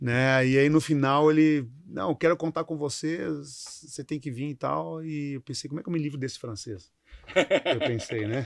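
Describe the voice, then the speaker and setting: At a moderate pace, a man with a fairly high pitch and ordinary pitch variation speaks with big swings in loudness. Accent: southern Brazilian. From southern Brazil (Rio Grande do Sul). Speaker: company CEO. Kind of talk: interview. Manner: halting, repeats words.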